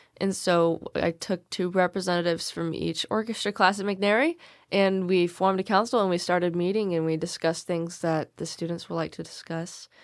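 A woman with an American accent and an unremarkable speaking voice, fairly low in pitch, fairly quick with hardly any pauses, fairly even in intonation, on a very clean recording with a silent background. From Salem, Oregon, US Pacific Northwest. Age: young. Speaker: recent high school graduate. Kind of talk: casual interview.

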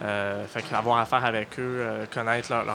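A man's medium-pitched, monotone, flat delivery amid noticeable background noise. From Halifax, Nova Scotia, Canada. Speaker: digital news editor. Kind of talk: interview. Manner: halting, many fillers.

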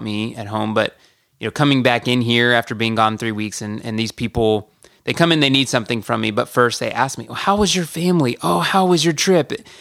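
On a very clean recording with a silent background, a man with an American accent speaks in a plain, everyday voice at medium pitch with ordinary pitch variation. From US South, Georgia (Marietta). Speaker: missionary. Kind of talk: casual interview.

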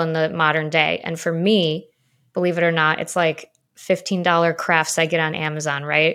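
A woman with an American accent and a normal speaking voice talks at a moderate pace in a fairly low pitch, on a very clean recording with a silent background. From Chicago. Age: 30s. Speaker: podcast host, former journalist. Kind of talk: casual interview chat; scripted intro.

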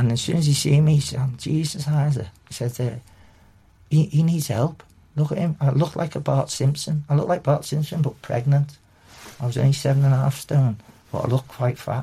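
Speaking at a fairly quick pace with a Liverpool accent, a man uses a fairly high, somewhat breathy voice with a dark, mellow tone. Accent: Liverpool (Scouse). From Liverpool, England. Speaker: recovering addict and kambo practitioner. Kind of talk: personal testimony. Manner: halting.

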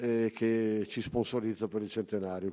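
His pace is moderate. The man's tone comes across dark and mellow. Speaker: association official and event organizer. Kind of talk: conference speech. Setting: conference hall.

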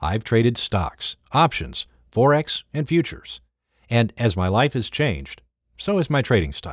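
A man speaks at a moderate pace with vocal fry and very wide pitch swings. The recording is very clean and dry, close-up with no echo over a silent background. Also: medium pitch for a man. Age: 50s. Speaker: trader and trading educator. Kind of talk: scripted narration.

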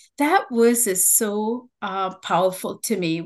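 Using a medium pitch, a woman talks with ordinary pitch variation. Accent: Tamil. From Sri Lanka. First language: Tamil. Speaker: nursing researcher and teacher. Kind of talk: interview conversation. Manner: warm, hesitant with fillers.

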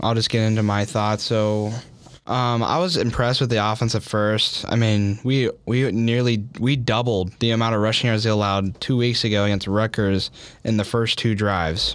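A man talks at a moderate pace in a normal speaking voice with a medium pitch. Intonation is fairly even, loudness is very even, and the recording is very clean with a silent background. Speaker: podcast co-host. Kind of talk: casual sports debate.

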